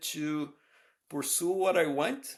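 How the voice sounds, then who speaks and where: A man speaks with a Brazilian Portuguese accent at a fairly high pitch. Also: very clean recording, silent background. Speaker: professor. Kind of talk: interview. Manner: hesitant, many fillers.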